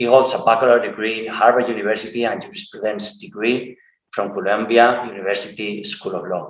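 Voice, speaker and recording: At a medium pitch, a man talks with a non-native accent. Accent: rusty English, non-native. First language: Spanish. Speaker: podcast host. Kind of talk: interview. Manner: halting.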